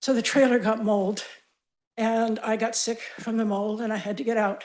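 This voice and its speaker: Speaking at a moderate pace, a woman holds a fairly high pitch in a monotone, flat intonation. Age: 80s+. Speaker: wildfire survivor giving public comment. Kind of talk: public comment at county board meeting.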